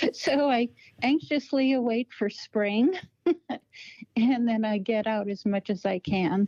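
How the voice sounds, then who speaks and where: Lively intonation marks this woman's fairly high, dark, mellow voice. She speaks at a fairly slow pace with long, frequent pauses. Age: 60s. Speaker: Bigfoot researcher. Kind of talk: interview.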